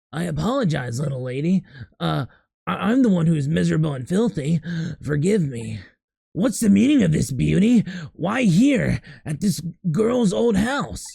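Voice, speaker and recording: Putting on a raspy character voice, a man speaks at a fairly high pitch with very wide pitch swings, a moderate pace, and long, frequent pauses. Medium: virtual streamer. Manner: overly polite, flattering.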